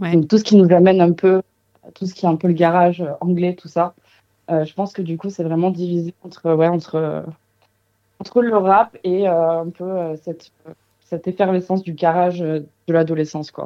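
The speech moves at a moderate pace in a monotone, flat intonation, with big swings in loudness and long, frequent pauses. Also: woman, fairly low pitch for a woman. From Marseille, southern France. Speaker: singer-songwriter. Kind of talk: interview.

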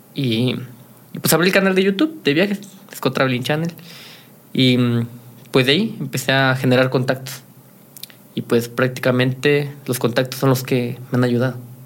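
A man with a medium pitch speaks at a moderate pace with ordinary pitch variation. His loudness stays very even, broken by long, frequent pauses. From Mexico, Guanajuato. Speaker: youtuber and entrepreneur. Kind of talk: interview.

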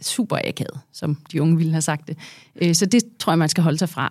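In an unremarkable speaking voice, a woman talks at a moderate pace and a fairly low pitch with ordinary pitch variation, on a very clean recording with a silent background. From Denmark, Herlev (Copenhagen area). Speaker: business executive and board member. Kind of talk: interview.

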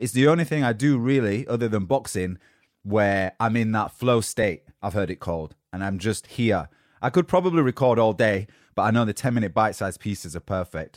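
A man with a Yorkshire accent, fairly low in pitch, fairly quick and animated in tone, in a dry, close sound with no echo and a very clean recording with a silent background. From Yorkshire, northern England. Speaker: motivational podcast host. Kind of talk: motivational monologue.

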